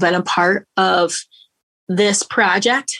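A woman speaks with a Michigan accent in a bright, sharp tone. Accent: Michigan American. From Grand Rapids, Michigan. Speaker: singer. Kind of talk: interview.

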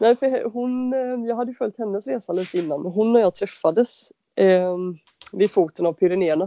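With an unremarkable speaking voice, a woman talks at a moderate pace in a medium pitch with ordinary pitch variation. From western Sweden (Halland, Varberg). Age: 30s. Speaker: bicycle mechanic and adventure cyclist. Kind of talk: interview.

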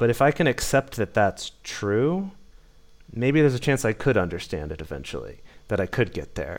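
Vocal fry, very wide pitch swings and a moderate pace. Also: man, medium pitch for a man. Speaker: dating coach and masculinity educator. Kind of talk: interview. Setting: remote call.

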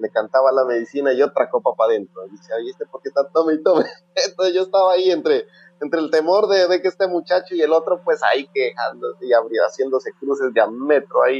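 Dry and close, with no echo, the sound captures a man. He talks at a very fast pace. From Colombia, Putumayo, Sibundoy Valley. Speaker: traditional healer. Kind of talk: interview. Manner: halting. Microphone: poor sound quality.

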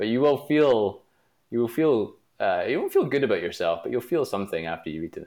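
The speaker goes at a fairly quick pace against a quiet background. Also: man. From Glasgow, Scotland. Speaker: product manager. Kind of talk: interview.

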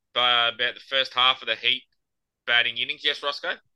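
Here a man speaks with an Australian accent. His pitch is medium. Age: 40s. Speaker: podcast host and amateur cricketer. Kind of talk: casual chat.

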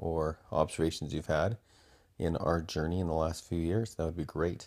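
Speaking at a fairly quick pace, a man with a very deep, low voice keeps his intonation fairly even on a very clean recording with a silent background. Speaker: school principal and podcast host. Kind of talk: casual podcast outro.

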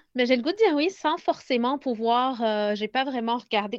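A woman speaks at a fairly quick pace in a high pitch. Her pitch varies in an ordinary way, and the background is quiet. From Lebanon. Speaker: pedagogical consultant. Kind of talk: casual interview. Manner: halting.

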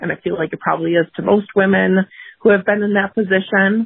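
An unremarkable speaking voice belongs to a woman with an American accent and a medium pitch. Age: 30s. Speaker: caller. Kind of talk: testimony. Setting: phone call.

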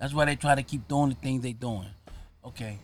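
A man talks with a New York accent. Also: very clean recording, silent background. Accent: New York American. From Harlem, New York. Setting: outdoors.

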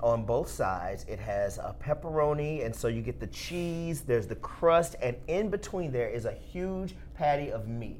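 With a Southern US accent, a man talks at a moderate pace with hardly any pauses, and audible room echo surrounds his voice. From Alabama, US South. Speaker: podcast host, food editor. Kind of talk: casual chat. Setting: studio.

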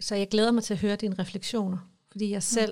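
The woman's medium-pitched voice moves with ordinary pitch variation. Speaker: podcast host. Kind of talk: casual chat. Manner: emotional, gets worked up.

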